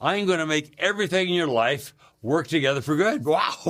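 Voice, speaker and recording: A man talks at a moderate pace with an animated tone, lively intonation and a bright, sharp quality. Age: 80s+. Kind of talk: personal testimony. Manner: halting, with frequent fillers and restarts; animated storytelling.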